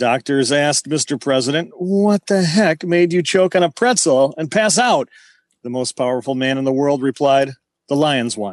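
A man's fairly high voice with lively intonation at a moderate pace, over a quiet background. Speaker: comedy segment performer.

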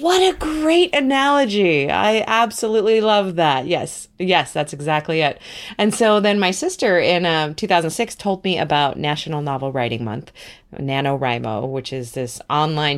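On a very clean recording with a silent background, a woman speaks at a moderate pace with very wide pitch swings. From New Zealand. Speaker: author and writing teacher. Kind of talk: interview conversation.

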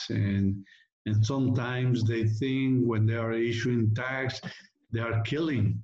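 With music in the background, a man with a Mexican accent speaks at a medium pitch in a monotone, flat intonation. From Mexico. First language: Spanish. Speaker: rancher and landowner. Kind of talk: casual interview. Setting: video call.

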